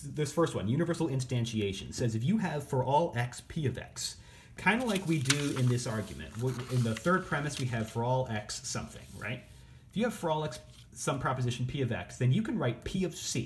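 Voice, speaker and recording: A man speaks with a somewhat breathy voice and lively intonation. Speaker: teacher. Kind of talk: lecture. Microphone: phone near.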